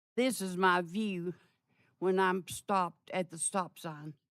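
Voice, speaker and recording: In an East Tennessee accent, a woman speaks at a medium pitch. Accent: Southern US (East Tennessee). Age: 80s+. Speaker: resident speaking at public comment. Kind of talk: public comment complaint. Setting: council meeting chamber. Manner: halting.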